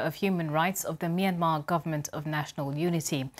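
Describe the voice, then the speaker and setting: This woman talks at a moderate pace, her pitch fairly low and its variation ordinary. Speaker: news presenter. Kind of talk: news reading. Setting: studio. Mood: calm, serious. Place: studio. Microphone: lapel.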